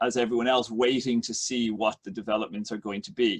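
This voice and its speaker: A man talks at a fairly quick pace with an Irish accent and a medium pitch. The recording is dry and close, without echo. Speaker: economics professor. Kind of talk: lecture. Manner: halting, many fillers.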